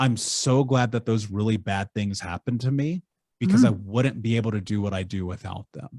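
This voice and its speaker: Dark and mellow in tone, a man talks at a fairly quick pace with fairly low pitch and ordinary pitch variation. The recording is very clean with a silent background and a dry, close sound with no echo. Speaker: coach for survivors of child abuse. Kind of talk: interview answer.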